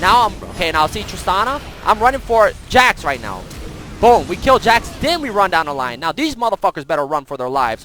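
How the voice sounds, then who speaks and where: Over music in the background, a man speaks at a fairly quick pace in a raised, projected voice, high for a man, with an animated tone and very wide pitch swings. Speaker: gaming streamer. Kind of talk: gameplay commentary. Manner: fast.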